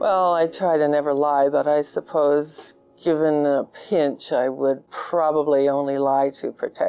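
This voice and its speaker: Speaking in a Canadian accent with a very deep, low pitch, a woman delivers her words at a fairly slow pace in a dark, mellow tone that stays monotone and flat. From Canada (Goose Bay, Labrador). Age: 60s. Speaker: fashion designer. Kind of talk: interview answers.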